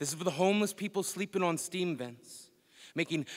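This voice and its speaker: A man with an unremarkable speaking voice talks at a fairly quick pace. His intonation is fairly even, and the recording is very clean with a silent background. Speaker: slam poet. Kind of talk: spoken word poetry performance. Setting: live conference stage.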